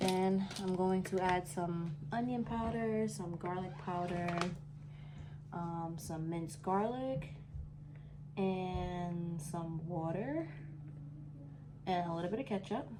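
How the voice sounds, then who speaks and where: A soft-spoken woman whispering at a very slow pace, with long, frequent pauses, noticeable background noise and audible room echo. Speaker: home cook vlogger. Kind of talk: cooking vlog tutorial. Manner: soft-spoken, near whisper; casual.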